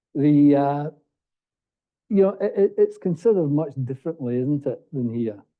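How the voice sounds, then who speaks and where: A man in an Australian accent, fairly high in pitch, with lively intonation and long, frequent pauses. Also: moderate pace. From England. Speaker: commission panel member. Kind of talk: panel discussion.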